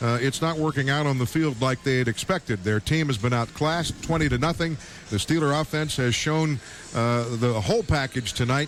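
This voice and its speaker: Against noticeable background noise, a man speaks with very even loudness. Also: medium pitch for a man, ordinary pitch variation, moderate pace, hardly any pauses. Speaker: radio play-by-play announcer. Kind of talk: live football broadcast play-by-play.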